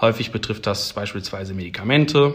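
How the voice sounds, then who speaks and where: A man's voice with lively intonation. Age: 20s. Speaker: PhD researcher in battery science. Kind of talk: casual interview.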